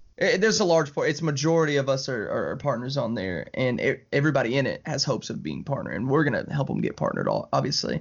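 A man races along at a very fast pace with hardly any pauses. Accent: Southern US. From Alabama, US South. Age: 20s. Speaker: video game streamer. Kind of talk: casual chat.

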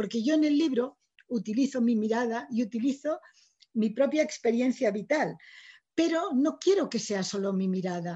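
A woman speaks at a moderate pace, her high pitch moving with lively intonation. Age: 60s. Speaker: writer. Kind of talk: lecture.

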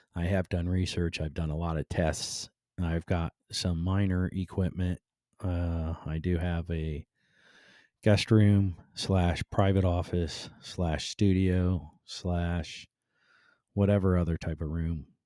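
A man's very deep, low voice with an American accent, dark, mellow tone and fairly slow pace, in a dry, close sound with no echo on a very clean recording with a silent background. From Cleveland, Ohio. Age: 50s. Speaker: podcast host and construction business owner. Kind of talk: casual monologue. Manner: laid-back; halting, many fillers.

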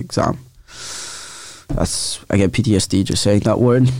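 A man at a fairly low pitch and moderate pace, with fairly even intonation and noticeable background noise. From Italy. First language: Italian. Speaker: podcast co-host. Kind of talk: casual chat.

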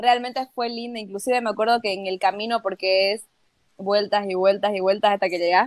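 Hers is a plain, everyday voice, fairly high for a woman with ordinary pitch variation. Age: 20s. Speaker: travel content creator. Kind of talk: casual chat.

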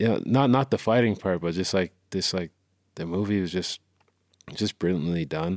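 On a very clean recording with a silent background, a man with a Canadian accent speaks at a moderate pace in a very deep, low pitch, with ordinary pitch variation and long, frequent pauses. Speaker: musician. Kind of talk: casual chat.

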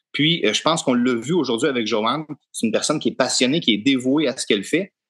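Over a quiet background, a man with a plain, everyday voice speaks at a medium pitch with lively intonation. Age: young. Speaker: podcast co-host, dairy farmer. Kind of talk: podcast interview.

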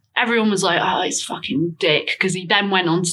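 Her pitch is fairly low for a woman. The pitch variation is ordinary. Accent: Lincolnshire. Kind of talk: casual chat.

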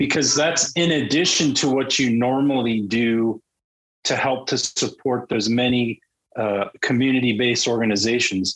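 Holding very even loudness, a man talks with medium pitch and ordinary pitch variation. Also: moderate pace. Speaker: podcast co-host. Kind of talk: casual interview. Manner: talkative.

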